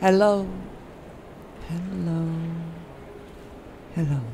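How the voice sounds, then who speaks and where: Very slow, fairly low-pitched speech from a woman, over noticeable background noise. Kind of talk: emotional spoken story.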